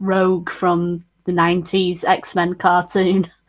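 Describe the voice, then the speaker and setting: With a northern English accent, a woman speaks fairly slowly at a medium pitch. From northern England.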